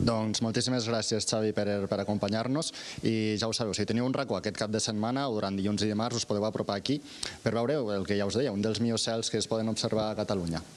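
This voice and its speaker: This man's pitch is fairly low and his intonation fairly even. He talks at a very fast pace. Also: very even loudness. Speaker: TV reporter. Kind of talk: live field report. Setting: outdoors.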